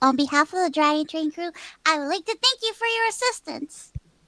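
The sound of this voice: This is a put-on character voice pitched high. The delivery moves at a fairly quick pace.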